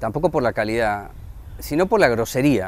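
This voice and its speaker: This is a man speaking. His intonation is lively. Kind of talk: interview.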